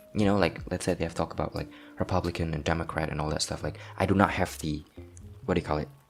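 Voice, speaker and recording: A man's very deep, low voice at a very fast pace, with ordinary pitch variation and long, frequent pauses. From Southeast Asia. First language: not English, not Korean. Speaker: language learning vlogger. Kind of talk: casual vlog monologue. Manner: hesitant, many fillers.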